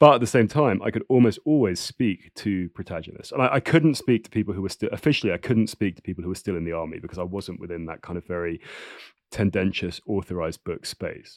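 A man with a southern English accent, fairly low pitch, lively intonation, a very fast pace and big swings in loudness, in a dry, close sound with no echo. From England. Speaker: writer. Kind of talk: interview conversation. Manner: halting, repeating words.

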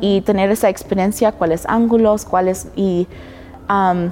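A woman talks at a fairly slow pace, with noticeable noise behind her. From US, Denver, Colorado. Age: 20s. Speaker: professional model. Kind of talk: casual interview.

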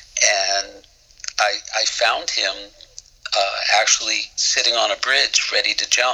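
A man with an American accent talks while noticeable background noise carries on. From Boston area, US. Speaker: musician and songwriter.

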